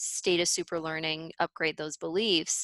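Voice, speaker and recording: A woman talks at a fairly slow pace in an energetic tone. The sound is dry and close with no echo, over a quiet background. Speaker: subconscious reprogramming facilitator and business coach. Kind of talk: interview conversation.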